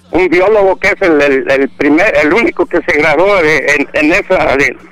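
Noticeable background noise sits under a man with a high pitch. He talks at a moderate pace with ordinary pitch variation. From Mexico, Jalisco. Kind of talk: casual chat.

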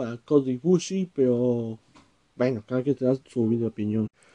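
Dark, mellow tone at a moderate pace, in a dry, close sound with no echo. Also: man. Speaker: wrestling podcaster. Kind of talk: solo commentary podcast. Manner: halting, many filler words.

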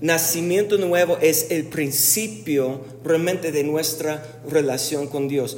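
Amid noticeable background noise, a man with a fairly high pitch and ordinary pitch variation talks at a very slow pace with hardly any pauses. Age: 40s. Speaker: pastor. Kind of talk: sermon.

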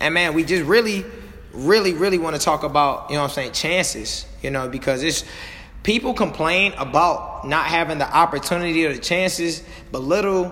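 The man's pitch runs high, and his pitch moves in an ordinary way. He talks fairly quickly over noticeable background noise. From Missouri (St. Louis). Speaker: podcast co-host and coach. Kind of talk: motivational casual chat. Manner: animated.

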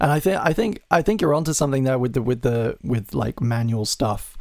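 A man's normal speaking voice at a medium pitch and moderate pace. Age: 20s. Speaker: podcast host. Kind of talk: casual interview chat.

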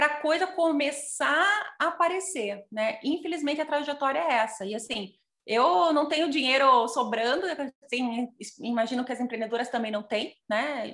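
With lively intonation and a high voice, a woman talks at a moderate tempo. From Curitiba region, Brazil (Piraquara). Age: 40s. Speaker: social entrepreneur, tech education founder. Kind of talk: online panel conversation.

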